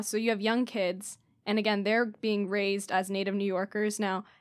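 A woman with an unremarkable speaking voice and a fairly high pitch talks at a moderate pace in a very clean recording with a silent background. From San Diego, California. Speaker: newspaper intern. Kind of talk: casual chat.

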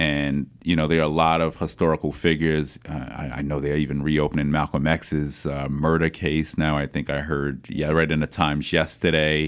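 A man with a New York accent, very deep and low in pitch, at a moderate pace. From Queens, New York City. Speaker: city council member and political candidate. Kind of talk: interview.

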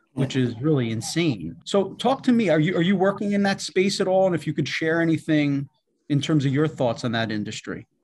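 With lively intonation and a somewhat breathy quality, a man speaks at a fairly quick pace. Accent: New York. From Queens, New York City. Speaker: podcast host. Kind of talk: interview; scripted introduction.

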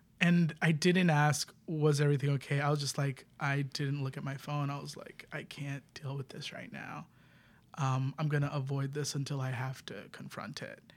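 A man with an American accent talks at a moderate pace in a fairly high, somewhat breathy voice, his intonation flat and monotone while his loudness swings widely. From New York City, the Bronx. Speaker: queer improv performer. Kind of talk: casual chat.

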